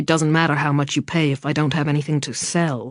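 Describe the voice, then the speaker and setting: Growling in a put-on character voice, the speaker rattles along at a very fast pace with a low-to-middle pitch. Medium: read story. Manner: cold, clipped, cruel.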